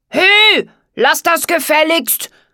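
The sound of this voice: A woman uses a put-on character voice with an extremely high pitch and a bright, sharp tone. Her intonation is lively and her pace slow, on a very clean recording with a silent background.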